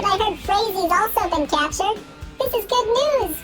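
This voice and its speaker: In a put-on character voice pitched extremely high, the speaker goes at a moderate pace while clear music plays in the background. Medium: game stream. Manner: ends sentences with tag questions.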